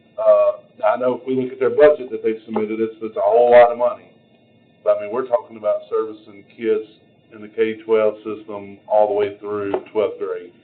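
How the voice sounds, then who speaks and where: A man talking at a fairly quick pace, with big swings in loudness and noticeable background noise. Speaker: committee member. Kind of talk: committee meeting. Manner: formal.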